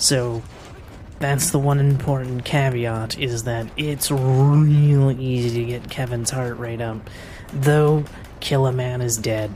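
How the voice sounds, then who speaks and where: A woman's very deep, low voice, very slow and monotone, with audible room echo and noticeable background noise. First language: French. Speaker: speedrunner. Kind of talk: live gameplay commentary. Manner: casual.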